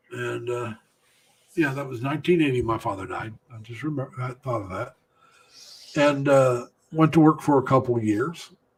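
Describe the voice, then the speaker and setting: With an American accent, a man speaks at a moderate pace in a somewhat breathy voice, with ordinary pitch variation, big swings in loudness and long, frequent pauses. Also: medium pitch for a man. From United States. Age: 60s. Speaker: livestream host, Navy veteran. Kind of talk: casual chat. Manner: halting, many fillers.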